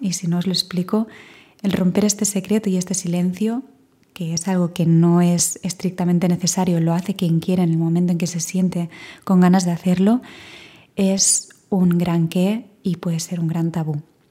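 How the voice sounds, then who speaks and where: A woman speaks at a moderate pace in a calm tone, her medium-pitched voice somewhat breathy. The tone is dark and mellow, with fairly even intonation. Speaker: podcast host, voice professional. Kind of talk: solo podcast monologue. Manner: reflective, calm.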